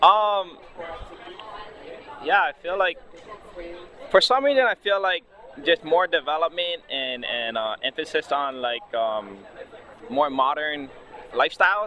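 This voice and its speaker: In a Hawaiian accent, a man speaks at a fairly slow pace with very wide pitch swings and long, frequent pauses. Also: fairly high pitch for a man. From Hawaii, Big Island. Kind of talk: interview answer.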